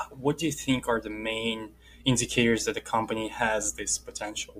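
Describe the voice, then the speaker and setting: Medium-pitched male speech in a Russian accent, monotone and flat, at a fairly quick pace. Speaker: podcast host. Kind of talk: interview.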